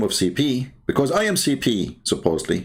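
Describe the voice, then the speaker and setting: A man with a medium-pitched voice and vocal fry swings his pitch very widely. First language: Arabic. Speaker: religious debater. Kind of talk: live online debate show. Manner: animated.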